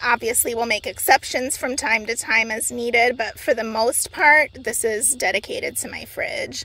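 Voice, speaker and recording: A woman speaks in a high voice with a bright, sharp tone at a fairly slow pace. The sound is dry with no echo. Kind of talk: casual tour tutorial. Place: car. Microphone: phone near.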